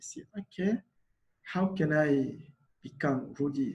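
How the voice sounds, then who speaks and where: A man with a Congolese accent speaks at a very slow pace and a fairly high pitch. His voice is somewhat breathy, with ordinary pitch variation. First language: Lingala. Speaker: refugee volunteer. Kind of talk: panel talk. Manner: halting.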